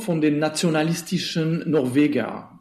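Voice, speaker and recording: A male voice is heard. Its tone is dark and mellow. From Switzerland. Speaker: theatre director. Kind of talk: interview. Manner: halting, with frequent fillers and repetitions.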